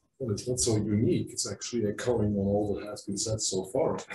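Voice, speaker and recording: A somewhat breathy man with a dark, mellow tone and fairly low pitch talks at a fairly quick pace with fairly even intonation. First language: not English. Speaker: assisted dying organisation representative.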